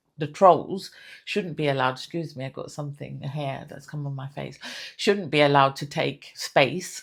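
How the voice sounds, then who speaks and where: In a very clean recording with a silent background, a woman with a British accent speaks at a moderate pace in a very deep, low pitch with vocal fry, ordinary pitch variation and big swings in loudness. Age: 60s. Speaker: lifestyle vlogger. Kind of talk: motivational talk to camera. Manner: halting, many fillers and repeats.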